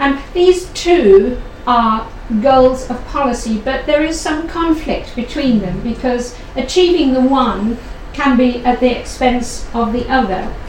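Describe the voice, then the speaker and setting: Over noticeable background noise, a woman speaks fairly slowly at a high pitch. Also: ordinary pitch variation. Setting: room with audience, one microphone. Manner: loud.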